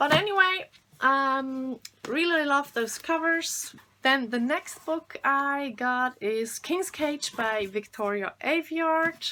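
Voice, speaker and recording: A woman speaks in a raised, projected voice at a high pitch. She goes very slowly, with lively intonation. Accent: German. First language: German. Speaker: booktuber. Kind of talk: casual chat. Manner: halting.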